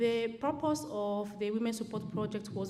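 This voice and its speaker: There is audible room echo as a woman talks at a fairly slow pace. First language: French. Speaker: charity worker, keynote speaker. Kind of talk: conference speech. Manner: halting, many fillers.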